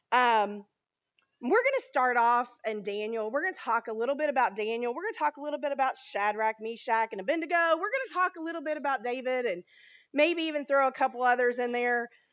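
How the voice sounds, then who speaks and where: Loud and animated, this voice races along at a very fast pace with lively intonation. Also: woman, high pitch for a woman. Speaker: children's ministry leader. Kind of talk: sermon. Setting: church.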